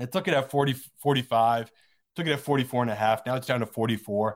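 At a very fast pace, a man speaks at medium pitch in a very clean recording with a silent background. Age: 30s. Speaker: professional sports bettor. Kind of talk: casual chat.

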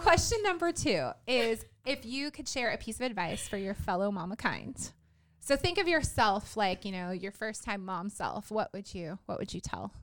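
Vocal fry colors a woman's animated voice, which swings very widely in pitch at a moderate pace. The recording is very clean with a silent background. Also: fairly high pitch for a woman. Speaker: podcast host and mom business owner. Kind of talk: casual chat. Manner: animated, giggly.

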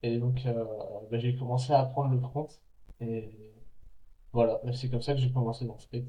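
At a moderate pace, a man talks in a somewhat breathy, monotone, flat voice broken by long, frequent pauses. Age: 20s. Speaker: street workout athlete and mountain adventurer. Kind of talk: casual chat.

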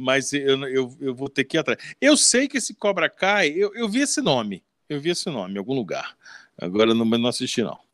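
A man's voice swings very widely in pitch. The sound is dry and close, without echo. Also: fairly high pitch for a man, moderate pace. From Rio de Janeiro, Brazil (Leme). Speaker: podcast host. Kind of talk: casual chat.

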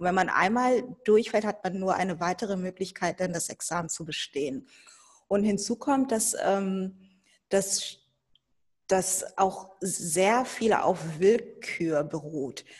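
Somewhat breathy and at medium pitch, a woman speaks at a very slow pace. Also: ordinary pitch variation. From Germany, Hannover. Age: 40s. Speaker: lawyer. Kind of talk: interview.

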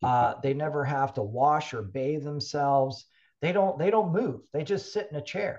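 An ordinary speaking voice from a man with an American accent, fairly high in pitch, lively intonation, moderate pace, quiet background. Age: 60s. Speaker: health and fitness technology company founder. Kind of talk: casual interview.

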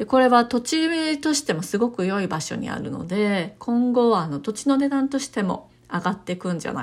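The woman talks at a moderate pace. Her pitch swings very widely. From Japan, Kyoto. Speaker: realtor and channel host. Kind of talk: informational monologue.

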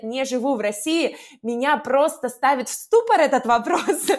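A woman's high-pitched voice with lively intonation on a very clean recording with a silent background. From Russia. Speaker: language teacher. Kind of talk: casual chat.

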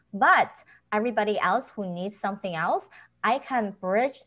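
A woman speaks at a moderate pace and a medium pitch. Her pitch varies in an ordinary way, over a quiet background. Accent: Chinese. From China. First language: Chinese. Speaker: author and health professional. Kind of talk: interview.

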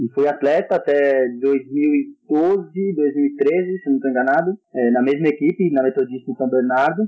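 In an unremarkable speaking voice, a man talks at a fairly high pitch and a fairly slow pace, with ordinary pitch variation, very even loudness and hardly any pauses. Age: 20s. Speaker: handball coach and fitness trainer. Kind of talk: casual podcast interview.

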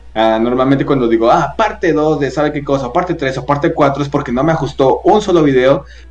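With music in the background, a man at fairly high pitch talks very fast in an animated tone with ordinary pitch variation. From Guadalajara, Jalisco, Mexico. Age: 20s. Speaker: TikToker and voice actor. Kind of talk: casual interview chat.

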